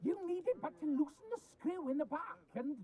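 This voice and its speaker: Someone performs a put-on character voice with a high pitch. The pace is fairly quick. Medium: video game.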